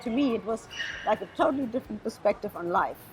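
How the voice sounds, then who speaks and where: Over music in the background, a woman with a German accent talks in a fairly high pitch. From Namibia. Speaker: pilot. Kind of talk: interview. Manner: animated.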